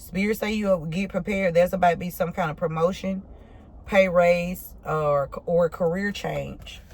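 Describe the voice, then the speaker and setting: Somewhat breathy, a woman speaks at a fairly low pitch in a monotone, flat intonation. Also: moderate pace. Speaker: tarot reader. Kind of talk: tarot reading. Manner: casual, halting; slurred words.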